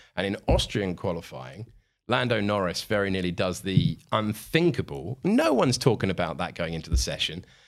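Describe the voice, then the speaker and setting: Vocal fry and lively intonation from a man with a British accent, fairly low in pitch, at a moderate pace. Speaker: motorsport commentator. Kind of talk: casual chat. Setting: studio.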